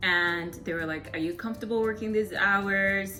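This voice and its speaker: A woman sounds animated at a medium pitch with ordinary variation. Music plays behind her, and room echo is audible. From Zimbabwe. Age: 20s. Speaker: vlogger and electrical engineer. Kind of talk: casual Q&A vlog.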